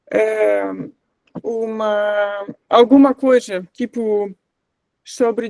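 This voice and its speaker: A woman talks with a non-native accent and a monotone, flat intonation. The sound is dry and close with no echo, over a quiet background. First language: not Portuguese (speaking Portuguese). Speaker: course facilitator. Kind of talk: workshop class discussion. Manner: halting, many fillers.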